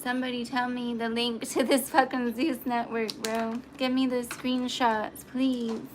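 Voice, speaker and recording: With hardly any pauses, a woman talks at a high pitch in a monotone, flat intonation while noticeable background noise plays underneath. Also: fairly slow pace. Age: 30s. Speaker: livestreamer and aspiring model. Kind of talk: casual livestream chat.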